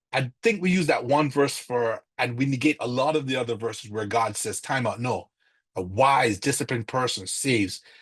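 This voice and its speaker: Against a quiet background, a man speaks at medium pitch in a somewhat breathy voice. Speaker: church finance class teacher. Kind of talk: lecture. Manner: fast; halting.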